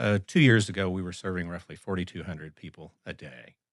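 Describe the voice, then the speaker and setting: This man has a very deep, low-pitched voice, captured in a very clean recording with a silent background. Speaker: nonprofit CEO. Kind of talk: interview answer.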